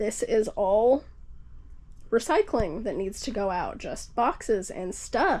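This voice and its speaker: An unremarkable speaking voice, with ordinary pitch variation. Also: woman. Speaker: homesteading vlogger. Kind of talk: casual home tour vlog. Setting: at home.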